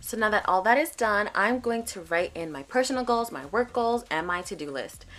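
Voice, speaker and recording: A woman talks at a fairly quick pace in a fairly high voice with very wide pitch swings. Her loudness varies greatly, and the recording is very clean with a silent background. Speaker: planner video creator. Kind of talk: tutorial voice-over. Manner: soft-spoken; quiet.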